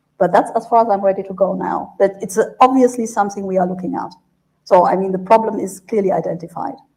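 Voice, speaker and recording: Speaking at a very fast pace with a German accent, a woman uses a somewhat breathy voice with a dark, mellow tone and fairly even intonation. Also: medium pitch for a woman. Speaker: EU trade official. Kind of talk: panel discussion.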